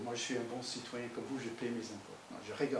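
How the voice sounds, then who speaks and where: Room echo can be heard around a man's voice. Background noise is noticeable as well. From United States. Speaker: pastor. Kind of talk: sermon. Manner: animated.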